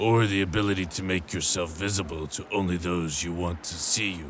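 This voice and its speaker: Against clear background noise, a man puts on a character voice with a very deep, low pitch. He talks at a fairly quick pace in a serious tone. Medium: audio drama. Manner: measured, serious.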